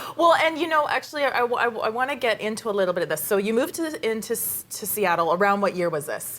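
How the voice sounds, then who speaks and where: A woman talks at a very fast pace with hardly any pauses, at a fairly high pitch with very wide pitch swings. Noticeable background noise runs behind her. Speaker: podcast host. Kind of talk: interview, host questions.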